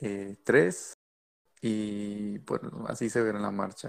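A man speaks very slowly in a fairly low voice, recorded very cleanly against a silent background. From Mexico. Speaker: podcast host, engineering student. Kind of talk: casual chat.

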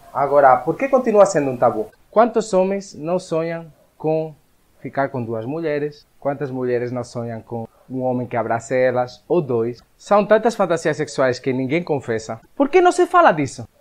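An ordinary speaking voice at a moderate pace, with lively intonation. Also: man, fairly high pitch for a man. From Spain. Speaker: web show host. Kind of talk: show introduction and interview.

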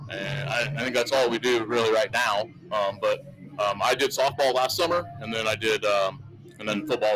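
Against noticeable background noise, a man with an American accent speaks at a medium pitch. He keeps a moderate pace. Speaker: local sports broadcaster. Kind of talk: casual interview. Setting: broadcast booth at football game.

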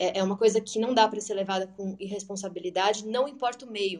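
Medium pitch in a woman's voice, its intonation fairly even. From Brazil. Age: 30s. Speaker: English teacher. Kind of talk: online talk / presentation.

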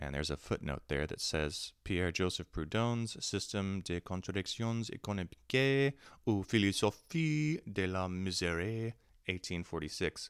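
At a moderate pace, a man talks in an unremarkable speaking voice pitched fairly low. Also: lively intonation. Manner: occasionally stumbles on foreign names and self-corrects.

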